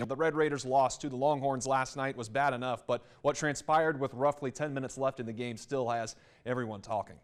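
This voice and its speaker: In a very clean recording with a silent background, a man uses an ordinary speaking voice at medium pitch, with ordinary pitch variation and a fairly quick pace. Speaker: sports anchor and reporter. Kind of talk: studio anchor sports desk read.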